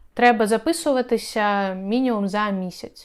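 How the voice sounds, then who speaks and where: A woman's plain, everyday voice, fairly high in pitch with ordinary pitch variation, at a fairly slow pace on a very clean recording with a silent background. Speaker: video blogger and relocation consultant. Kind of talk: informational video tutorial.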